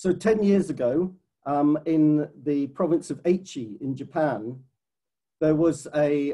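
A man's dark, mellow tone over a quiet background. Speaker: conservation science director. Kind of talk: webinar presentation. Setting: video call. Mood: earnest, concerned. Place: home room. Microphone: webcam.

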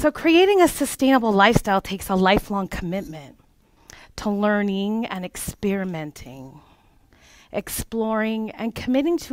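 A woman with very wide pitch swings at a fairly slow pace, in a dry sound with no echo and a quiet background. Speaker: life coach and former childcare provider. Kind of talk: workshop presentation. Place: meeting room.

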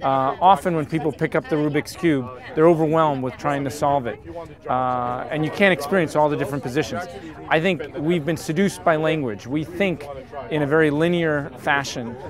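A man talking at a fairly quick clip, ordinary pitch variation, dry sound with no echo, and noticeable background noise. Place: boat. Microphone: camera far.

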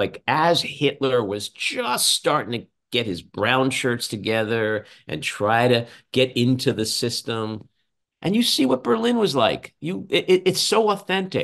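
A man with a New York accent, fairly slow, with very wide pitch swings against a quiet background. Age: 60s. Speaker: podcast host and political commentator; podcast host, political commentator. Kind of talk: casual chat. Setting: video call. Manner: animated. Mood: indignant, sarcastic. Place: home room. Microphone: video call.

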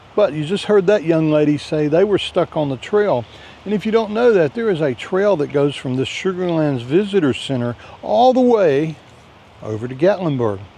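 A man with a high pitch and very wide pitch swings talks at a moderate pace, the sound dry with no echo. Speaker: RV travel vlogger. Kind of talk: casual vlog chat. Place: forest. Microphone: phone near.

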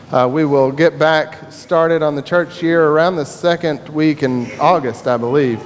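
Light background noise sits behind the speech. A man talks at a moderate pace, his pitch varying in an ordinary way. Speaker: minister. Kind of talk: church announcements. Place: church.

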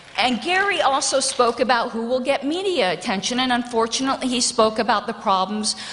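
A woman with a high pitch speaks at a moderate pace, her intonation lively. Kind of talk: nomination speech. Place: hall. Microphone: podium.

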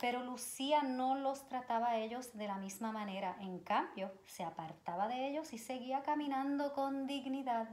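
A woman with a high-pitched voice talks at a fairly slow pace with ordinary pitch variation and hardly any pauses. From Puerto Rico. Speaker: children's educator, nonprofit advisory board member; story reader. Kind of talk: reading aloud to children. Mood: gentle, expressive storytelling. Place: home room. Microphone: phone near.

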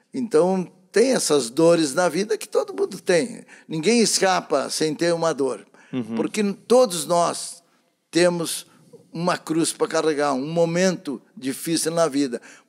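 Lively intonation marks this man's high voice. The background is quiet. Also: fairly slow pace. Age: 70s. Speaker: radio announcer. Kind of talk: interview answer. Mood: reflective, calm storytelling. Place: studio. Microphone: handheld.

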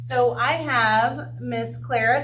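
A woman talks with an American accent. Noticeable background noise and audible room echo fill the recording. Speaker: school administrator. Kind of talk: public meeting remarks. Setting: school board meeting with PA mic. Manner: loud.

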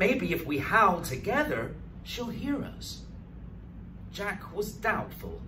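A man's dramatic, very slow delivery amid noticeable background noise. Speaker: storyteller. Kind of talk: bedtime story reading aloud, picture-book narration with character voices. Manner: slow, expressive, paced for children with dramatic pauses. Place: studio.

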